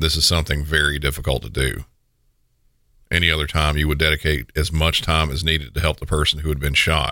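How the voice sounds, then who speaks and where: Bright and sharp in tone, the voice has vocal fry, a very fast pace and monotone, flat intonation. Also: man, very deep, low pitch for a man. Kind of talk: scripted narration of true crime. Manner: formal, steady, matter-of-fact.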